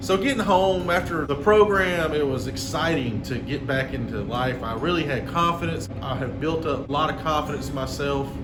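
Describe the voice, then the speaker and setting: Over noticeable background noise and audible room echo, a man with a strong Southern accent talks at a moderate pace with hardly any pauses, a fairly high pitch and lively intonation. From Georgia, US South (Hogansville). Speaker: restaurant owner. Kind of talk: personal storytelling.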